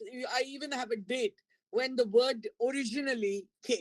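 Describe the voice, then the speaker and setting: A woman's high voice comes through with a dry, close sound with no echo. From India. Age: 70s. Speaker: professor. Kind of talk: lecture.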